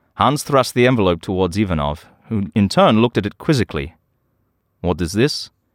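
A man talks at a fairly quick pace in a plain, everyday voice, fairly low in pitch, with a dry, close sound with no echo. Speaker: audio drama narrator. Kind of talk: dramatic scripted narration of a spy story. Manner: suspenseful, brooding, tense; shifts voices for characters.

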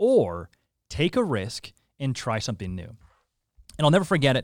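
In a very clean recording with a silent background, a man with a Canadian accent talks at a moderate pace and medium pitch, his voice showing vocal fry. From Saskatoon and Calgary, western Canada. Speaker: content creator and radio personality. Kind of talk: casual interview.

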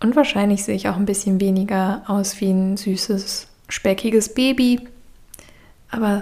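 Speaking at a moderate pace, this is a normal speaking voice with fairly even intonation. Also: woman. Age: 30s. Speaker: podcaster. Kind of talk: personal monologue. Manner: reflective.

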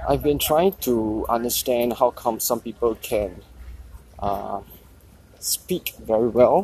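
A man talks at a very slow pace with long, frequent pauses. His tone is dark and mellow. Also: medium pitch for a man, lively intonation. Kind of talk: solo audio journal. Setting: outdoors. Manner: halting.

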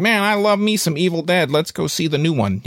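A man puts on a character voice pitched high. He talks at a fairly quick pace. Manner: enthusiastic, mocking.

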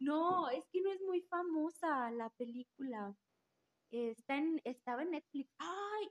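A high-pitched woman at a very slow pace, with lively intonation, in a dry, close sound with no echo. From Aguascalientes, Mexico. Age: 20s. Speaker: rehabilitation therapist. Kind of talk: casual chat.

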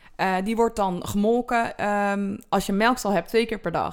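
A woman talks fairly slowly on a very clean recording, and the background is completely silent. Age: 20s. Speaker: dairy farmer and agricultural teacher. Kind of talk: interview. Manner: hesitant, with filler words; explanatory.

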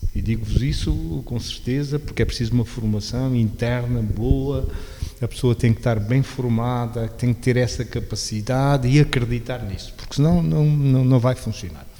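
A man's pitch varies in an ordinary way as he talks amid noticeable background noise. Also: medium pitch for a man, moderate pace. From Portugal, Beja (Alentejo). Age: 60s. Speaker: local government veteran and social innovation agent. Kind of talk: radio interview.

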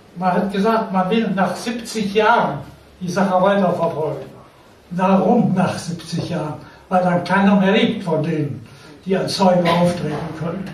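A man with a high pitch talks at a fairly slow pace, with audible room echo and noticeable background noise. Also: ordinary pitch variation. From Lower Saxony, near Hann. Münden. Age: 80s+. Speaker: war veteran. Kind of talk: testimony. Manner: halting.

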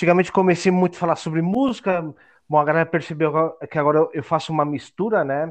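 A man speaks fairly quickly in a normal speaking voice with ordinary pitch variation. The background is quiet. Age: 40s. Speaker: podcast contributor, history graduate. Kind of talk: casual interview.

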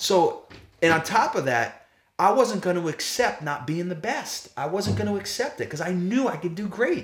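This man's voice sits high in pitch. He speaks at a moderate pace. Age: 40s. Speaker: former professional baseball player, sales leader. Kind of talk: interview. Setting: in person at guest's home. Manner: casual.

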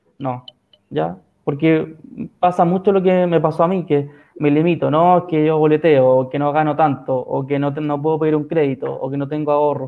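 In a Chilean accent, a man speaks at a moderate pace with a fairly high pitch and fairly even intonation. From San Felipe, Chile. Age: 20s. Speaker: physiotherapist guest. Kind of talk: live stream interview. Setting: video call live stream.

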